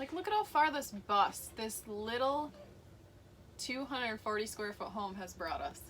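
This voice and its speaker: Speaking with a Minnesotan accent, a woman uses a fairly high pitch, an animated tone and lively intonation at a fairly slow pace. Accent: Minnesota. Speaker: vlogger, hairstylist. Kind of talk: casual chat.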